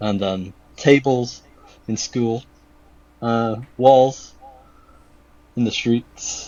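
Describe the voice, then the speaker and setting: With a British accent, a man speaks at a fairly low pitch with fairly even intonation. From UK. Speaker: shoe customizer and artist. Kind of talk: podcast interview.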